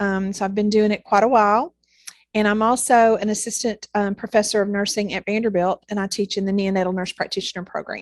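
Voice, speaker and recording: At a fairly quick pace and with fairly even intonation, the speaker talks with a Southern US accent in a very clean, silent recording with a dry, close sound and no echo. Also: woman. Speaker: neonatal nurse practitioner and nursing professor. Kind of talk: interview. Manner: hesitant, many fillers.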